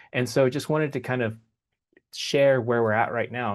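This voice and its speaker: In a quiet background, a man with an American accent speaks with monotone, flat intonation. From United States. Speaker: human factors engineer at a space biotech company. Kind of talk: workshop presentation. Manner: casual, filler-heavy.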